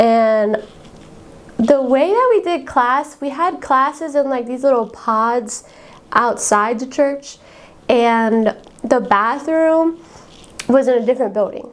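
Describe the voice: A high-pitched woman's voice, slow, with ordinary pitch variation.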